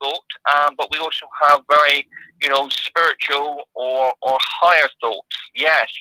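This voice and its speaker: Speaking at a moderate pace, a man uses a fairly high pitch and fairly even intonation. His tone is bright and sharp, and the sound is dry and close with no echo. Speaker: psychic artist. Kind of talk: casual interview. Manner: halting.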